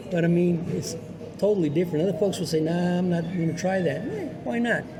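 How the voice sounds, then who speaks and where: At a fairly quick pace, the speaker's pitch varies in an ordinary way, with audible room echo and noticeable background noise. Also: man, high pitch for a man. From New Mexico. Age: 70s. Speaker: radio broadcaster and musician. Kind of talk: casual interview.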